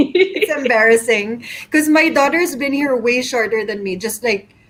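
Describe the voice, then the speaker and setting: Over noticeable background noise, a woman talks at a fairly slow pace and a fairly high pitch with ordinary pitch variation. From Philippines, Manila. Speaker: chef. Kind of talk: interview. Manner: casual.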